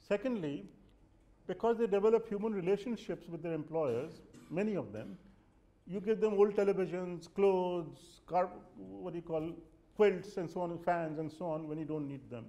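Dark, mellow tone at a moderate pace, with big swings in loudness and ordinary pitch variation. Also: man, high pitch for a man. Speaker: guest lecturer. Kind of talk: lecture. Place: classroom.

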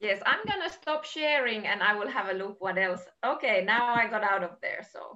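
Keeping a moderate pace with hardly any pauses, a woman speaks at a fairly high pitch with lively intonation. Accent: Finnish. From Finland. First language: Finnish. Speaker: heritage agency advisor; workshop host. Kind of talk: online webinar presentation. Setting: video call. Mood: warm, cheerful. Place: home room. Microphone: video call.

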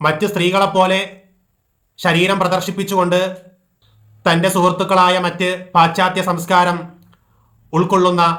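A man projects a raised voice with a high pitch and a bright, sharp tone. His intonation stays monotone and flat, and the room echo is audible. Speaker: Islamic preacher. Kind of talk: religious talk. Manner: formal.

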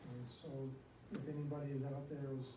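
Amid clear background noise and audible room echo, a man talks at a medium pitch with little pitch movement.

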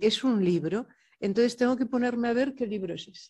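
A dark, mellow tone against a quiet background. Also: woman. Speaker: poet. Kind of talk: panel discussion. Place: hall. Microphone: podium.

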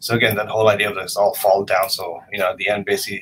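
This is a man speaking with a Canadian accent. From Canada (Vancouver). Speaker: photographer. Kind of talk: presentation of own work. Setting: video call.

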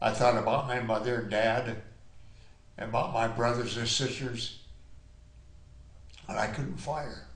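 Over noticeable background noise, the voice moves at a fairly slow pace in a monotone, flat intonation. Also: man. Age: 80s+. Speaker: war veteran. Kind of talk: personal war story told in interview.

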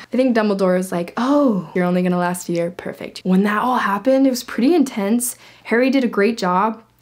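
A woman speaks in an animated tone at a fairly high pitch and a fairly quick pace, with hardly any pauses. Her pitch varies in an ordinary way over a quiet background. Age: 20s. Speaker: book youtuber. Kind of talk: casual book review vlog. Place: home room.

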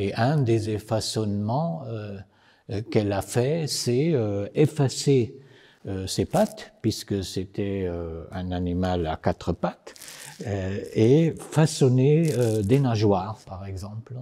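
A man speaks very slowly in a dark, mellow tone. His intonation is lively and the background is quiet. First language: Italian (speaking French). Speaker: poet and novelist; poet. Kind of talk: short filmed explanation. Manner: hesitant, many filler sounds. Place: studio.

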